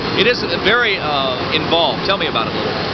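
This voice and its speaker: A man rattles along at a very fast pace, with audible room echo and noticeable background noise around him. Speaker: TV news reporter. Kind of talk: live field report. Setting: factory floor, live broadcast.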